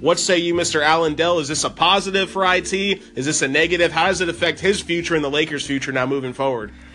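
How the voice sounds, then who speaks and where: Over music in the background, a man with a high pitch races along at a very fast pace with hardly any pauses and ordinary pitch variation. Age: 20s. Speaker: sports podcast host. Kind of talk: casual sports talk. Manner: animated.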